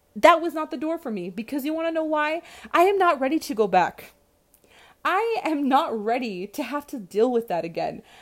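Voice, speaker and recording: A woman's high voice at a moderate pace, sweeping through very wide pitch swings. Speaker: podcast host, retail store worker. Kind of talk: solo monologue, casual reflective talk. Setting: recording at home, kids nearby. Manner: louder and less soft-spoken than usual.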